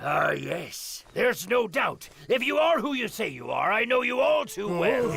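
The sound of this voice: A man's cartoonish character voice, extremely high in pitch, at a moderate pace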